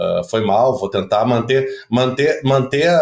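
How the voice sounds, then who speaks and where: A man speaks with a southern Brazilian accent. His pace is moderate. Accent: southern Brazilian (gaúcho) Portuguese. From Porto Alegre, southern Brazil (Zona Norte). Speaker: political commentator. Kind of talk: casual podcast chat.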